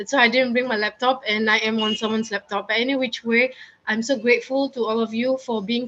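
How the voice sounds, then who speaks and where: This woman has a fairly high pitch. Her delivery is monotone and flat. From Singapore. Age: 40s. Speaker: motivational speaker. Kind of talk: conference talk. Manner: fast. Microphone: borrowed laptop.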